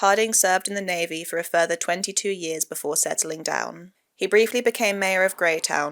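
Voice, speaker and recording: Using an ordinary speaking voice, a woman talks at a fairly quick pace with a fairly low pitch and fairly even intonation. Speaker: news narrator. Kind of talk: news voiceover.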